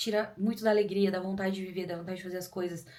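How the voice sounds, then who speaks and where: A woman speaks in a somewhat breathy voice. Room echo is audible. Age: 30s. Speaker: YouTuber. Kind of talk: personal testimony. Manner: fast; animated.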